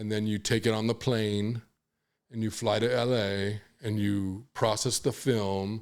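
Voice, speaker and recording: In a very clean recording with a silent background, a man speaks fairly slowly at a fairly low pitch with monotone, flat intonation. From Los Angeles, US West Coast. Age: 60s. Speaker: hip-hop photographer. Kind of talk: podcast interview, casual storytelling. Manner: halting, many fillers and restarts.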